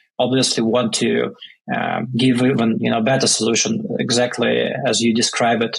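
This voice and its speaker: A man with a Russian accent at a moderate pace. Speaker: startup founder. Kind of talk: podcast interview. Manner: hesitant, many fillers.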